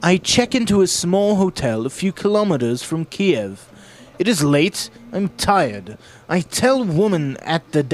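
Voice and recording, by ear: Reading aloud in a natural voice, with lively intonation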